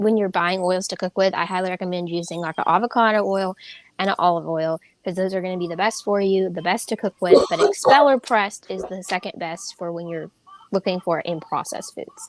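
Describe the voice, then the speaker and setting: At a fairly quick pace, a woman with a medium pitch and ordinary pitch variation speaks in a dry, close sound with no echo. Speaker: health and nutrition guest. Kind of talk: live chat. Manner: fast.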